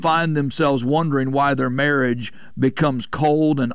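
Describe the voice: Vocal fry runs through a man's medium-pitched voice as he speaks at a fairly slow pace with ordinary pitch variation.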